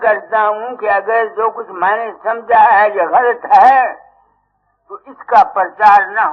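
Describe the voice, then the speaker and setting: His pitch high for a man, this speaker keeps a fairly even intonation but shows big swings in loudness. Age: 80s+. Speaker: spiritual teacher. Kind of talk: sermon. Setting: satsang gathering with audience.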